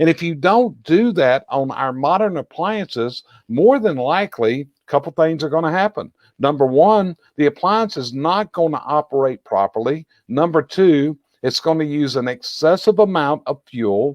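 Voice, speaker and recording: Lively intonation carries a man's Southern US accent. He speaks at a moderate pace and a fairly high pitch. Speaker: chimney industry expert and show host. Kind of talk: educational discussion.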